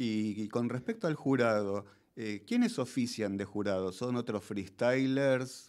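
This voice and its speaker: A man's unremarkable speaking voice, medium in pitch, at a fairly slow pace with fairly even intonation over a quiet background. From Argentina. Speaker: radio host. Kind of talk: radio interview. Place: studio. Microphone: studio mic.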